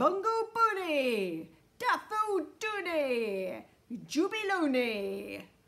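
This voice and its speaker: A put-on character voice, high in pitch, drags along at a very slow pace. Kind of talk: storybook read-aloud. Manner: forceful, straining, screamed.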